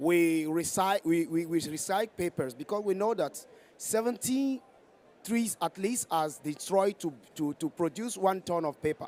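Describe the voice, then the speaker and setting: Speaking with a West African French accent, a man uses a high pitch, ordinary pitch variation, and a moderate pace. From Togo. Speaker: NGO director, audience questioner. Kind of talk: audience question at panel. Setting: conference side event. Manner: halting, many fillers and restarts.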